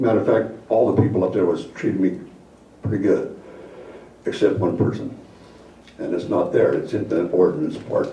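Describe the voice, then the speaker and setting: Amid noticeable background noise and audible room echo, a man speaks at a moderate pace, leaving long, frequent pauses. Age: 70s. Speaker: resident giving public comment. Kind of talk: public comment at council meeting. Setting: city council meeting. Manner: halting.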